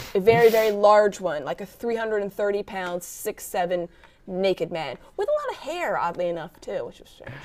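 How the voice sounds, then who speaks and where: Fairly quick woman with an American accent, medium pitch, ordinary pitch variation and big swings in loudness, with noticeable background noise. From Virginia, US South. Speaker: sports anchor and sideline reporter. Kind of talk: talk show interview. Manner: animated.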